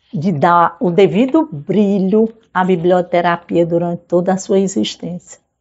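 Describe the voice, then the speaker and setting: A woman talks at a very slow pace, her medium pitch rising and falling in an ordinary way. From Brazil, Ceará (Fortaleza). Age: 50s. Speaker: librarian and lecturer. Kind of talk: oral history interview.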